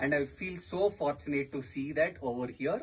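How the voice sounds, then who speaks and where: Somewhat breathy, a man with an Indian accent speaks at a fairly high pitch. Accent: Indian English, Telugu. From southern India, Telangana (Hyderabad). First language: Telugu. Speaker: tourist and podcaster. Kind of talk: radio interview.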